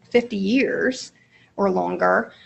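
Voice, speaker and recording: A woman with a medium pitch talks at a very slow pace. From Appalachia, Eastern Kentucky. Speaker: mental health professional, seminar presenter. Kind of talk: lecture. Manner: halting, frequent fillers.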